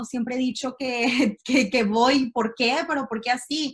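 A woman talks fairly slowly in a high voice, her intonation fairly even. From Mexico City. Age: 20s. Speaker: entrepreneur. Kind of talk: interview. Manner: halting, repeats words.

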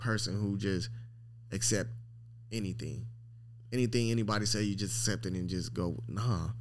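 There is audible room echo as a man with an American accent talks at a moderate pace. His intonation is monotone and flat, with long, frequent pauses. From Long Beach, California. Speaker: dog breeder. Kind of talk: casual interview.

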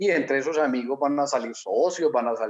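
A man is speaking. His pace is fairly quick. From Colombia. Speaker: network marketing entrepreneur. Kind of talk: interview.

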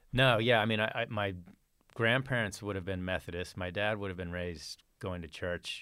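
With a Texan accent, a man speaks at a fairly low pitch with ordinary pitch variation. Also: moderate pace. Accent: Texan American. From Texas, Fort Worth. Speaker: churchgoer sharing conversion story. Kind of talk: testimony.

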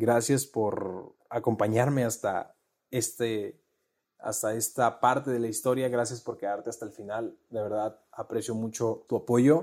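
A man's plain, everyday voice at medium pitch, with a fairly slow pace and fairly even intonation. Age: 20s. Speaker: podcast host. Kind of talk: personal monologue. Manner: conversational.

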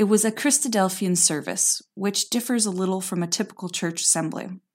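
A woman's medium-pitched voice, dark and mellow in tone, with lively intonation on a very clean recording over a silent background. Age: 20s. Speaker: podcast host and storyteller. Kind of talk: personal storytelling.

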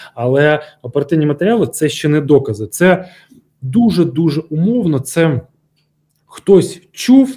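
A man talks with fairly high pitch and lively intonation. His pace is fairly slow, broken by long, frequent pauses. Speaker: former security service officer, security expert. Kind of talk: interview. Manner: halting, with filler sounds.

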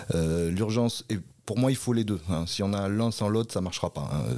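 With a fairly low pitch, a man speaks in a dark, mellow tone and ordinary pitch variation. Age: 40s. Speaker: parliamentary candidate. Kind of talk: political interview. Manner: halting, many hesitations.

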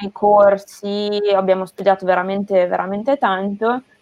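Her delivery is fairly slow and monotone, with flat intonation, and the woman's pitch sits in the medium range. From northern Italy, Emilia-Romagna (near Bologna). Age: 20s. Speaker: sports sustainability specialist, former competitive swimmer. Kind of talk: interview on a live stream.

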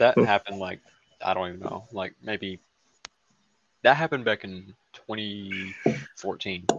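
A man with a Southern US accent speaks quietly at a fairly low pitch with ordinary pitch variation, big swings in loudness and long, frequent pauses. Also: dry, close sound with no echo. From US South. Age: 19. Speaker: podcast guest. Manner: quiet, low energy.

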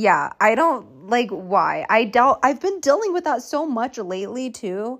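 With very wide pitch swings, a woman speaks in a high pitch at a fairly slow pace with hardly any pauses, on a very clean recording with a silent background. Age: 20s. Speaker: solo podcaster. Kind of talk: casual monologue. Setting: lying in bed in her room.

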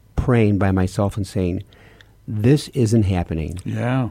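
With music in the background, a man with an American accent speaks at a very slow pace with ordinary pitch variation. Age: 70s. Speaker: priest and radio host. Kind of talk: casual radio talk show chat. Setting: studio.

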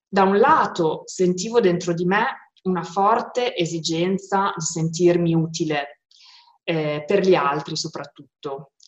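It's a normal speaking voice at a fairly slow pace with ordinary pitch variation. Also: woman, fairly low pitch for a woman. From Modena, northern Italy. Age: 30s. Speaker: peace volunteer. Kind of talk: testimony.

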